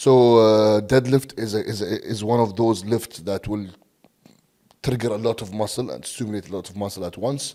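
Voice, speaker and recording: A man with an Arabic accent talks at a moderate pace, his pitch fairly low and his tone dark and mellow. His intonation stays fairly even while his loudness swings widely. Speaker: bodybuilding coach. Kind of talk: podcast interview. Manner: halting, many fillers and repeats.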